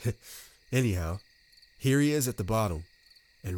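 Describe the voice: This is plain reading aloud. The intonation stays lively throughout.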